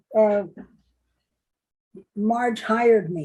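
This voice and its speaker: The voice is somewhat breathy, with a dark, mellow tone and a slight New York accent. It moves at a very slow pace. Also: woman. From New York City. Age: 70s. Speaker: retired electrical engineer and contractor. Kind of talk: oral history interview.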